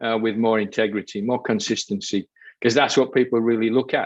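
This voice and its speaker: With a Yorkshire accent, a man talks at a fairly quick pace in a monotone, flat intonation. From Yorkshire, northern England. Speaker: behavioral coach. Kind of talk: podcast interview.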